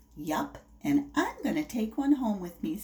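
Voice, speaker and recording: Someone uses a put-on character voice at a fairly high pitch and a moderate pace. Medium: read story. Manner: bouncy.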